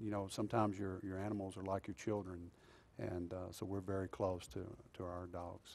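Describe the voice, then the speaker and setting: Here a man talks at a fairly quick clip with a Texan accent. His voice sits fairly low and has a dark, mellow tone. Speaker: police chief. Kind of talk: interview.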